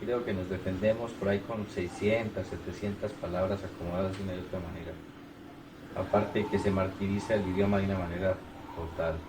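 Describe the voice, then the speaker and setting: A man's very deep, low voice with a Colombian accent, monotone and flat, at a fairly quick pace, with noticeable background noise and audible room echo. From Bogotá, Colombia. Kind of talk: casual chat. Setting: private home.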